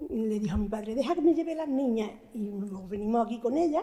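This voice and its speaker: Lively intonation runs through the speech. The tone is dark and mellow. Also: woman. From Andalusia, Antequera (Málaga). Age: 80s+. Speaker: elderly resident sharing memories. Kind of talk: oral history testimony.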